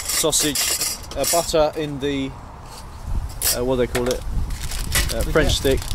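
Loud background noise fills the clip. The speech comes at a fairly slow pace with a dry sound and no echo. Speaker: urban explorer vlogger. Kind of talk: casual vlog chat. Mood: cheerful, relaxed. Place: street. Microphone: phone near.

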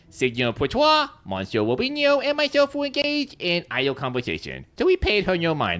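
This put-on character voice sits at a middle pitch and moves at a fairly quick pace with hardly any pauses.

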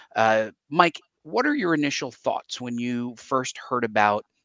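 Against a quiet background, a man talks with ordinary pitch variation in a dry sound with no echo. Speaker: show host. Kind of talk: live show commentary. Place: home room. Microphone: headset.

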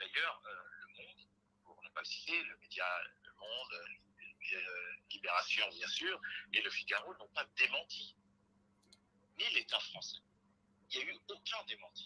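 A fairly slow delivery with long, frequent pauses and big swings in loudness. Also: man. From Republic of the Congo. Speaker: think tank researcher; guest. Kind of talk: televised debate. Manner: halting.

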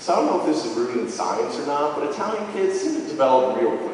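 A man is talking over light background noise. The room adds a strong echo. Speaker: storyteller. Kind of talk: live storytelling performance. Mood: humorous, self-deprecating. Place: hall.

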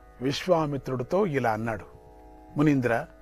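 Faint music plays behind a man's voice. The sound is dry, with no echo. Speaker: religious teacher. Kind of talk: religious discourse storytelling.

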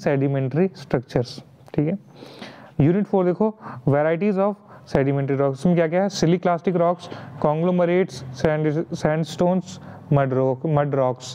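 A high-pitched man's voice with ordinary pitch variation amid noticeable background noise. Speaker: online tutor. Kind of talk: tutorial. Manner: casual, frequent fillers.

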